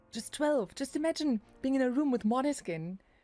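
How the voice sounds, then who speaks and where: In a German accent, the speaker talks at a fairly slow pace in a dark, mellow tone, with very wide pitch swings. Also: woman. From Germany. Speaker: streamer. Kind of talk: casual chat. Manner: halting.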